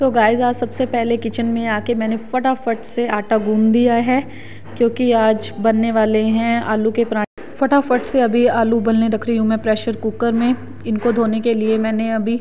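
A woman talks at a fairly slow pace with monotone, flat intonation. There is light background noise behind her. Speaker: home vlogger. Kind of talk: casual vlog chat. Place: kitchen. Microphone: phone near.

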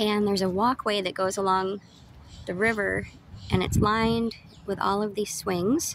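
A woman talks at a moderate pace in a dry sound with no echo and light background noise. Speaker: sailing vlogger. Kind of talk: casual vlog chat. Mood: calm, pleasant. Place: waterside. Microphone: phone near.

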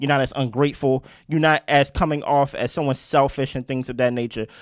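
The tone is animated. The background is quiet. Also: man. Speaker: podcast co-host reviewing reality TV. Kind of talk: casual chat. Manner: loud. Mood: critical, teasing. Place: home room. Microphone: handheld.

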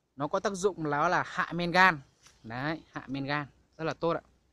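A man's fairly high voice has a bright, sharp tone and ordinary pitch variation. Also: moderate pace.

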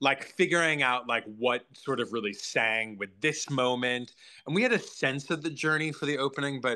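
A man's bright, sharp tone at a moderate pace, with ordinary pitch variation and a quiet background. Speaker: guest. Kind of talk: interview answer. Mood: amused, candid, laughing. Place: home room. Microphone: video call.

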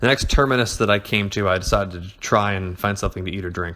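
A man's very fast speech, fairly low in pitch, with a bright, sharp tone. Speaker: horror story narrator. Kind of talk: dramatic horror story reading.

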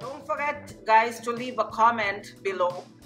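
At a moderate pace, a woman speaks while clear music plays behind her. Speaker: home cook vlogger. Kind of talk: tutorial. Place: kitchen. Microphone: phone near.

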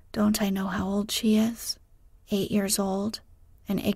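A natural voice reads a passage aloud.

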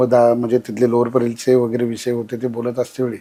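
Dark, mellow tone marks this man's voice. He talks at a medium pitch. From Maharashtra, rural Kolhapur district. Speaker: regional party organizer. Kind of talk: interview reminiscence.

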